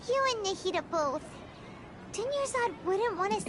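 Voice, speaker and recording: Loud background noise accompanies a put-on character voice with an extremely high pitch at a moderate pace. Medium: video game. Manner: chatty, expressive.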